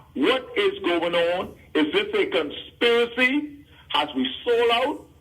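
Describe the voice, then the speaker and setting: Over noticeable background noise, a man speaks very slowly in a high voice with very wide pitch swings. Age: 70s. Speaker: caller. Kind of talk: call-in radio talk. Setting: phone call. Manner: halting.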